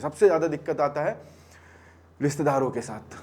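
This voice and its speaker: Noticeable background noise fills the recording. A man talks over it at a moderate pace. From Bihar, India. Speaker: stand-up comedian. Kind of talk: stand-up comedy set. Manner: casual, conversational.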